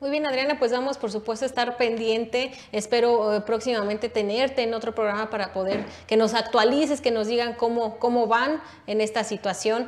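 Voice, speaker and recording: A woman talks in a normal speaking voice at a fairly quick pace, her fairly high pitch held in fairly even intonation. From Mexico. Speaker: political talk show host. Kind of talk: panel discussion. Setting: studio. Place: studio.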